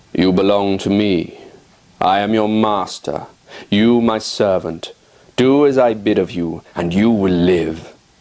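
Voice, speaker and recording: A man talks fairly slowly, putting on a character voice. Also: fairly low pitch for a man. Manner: commanding, domineering.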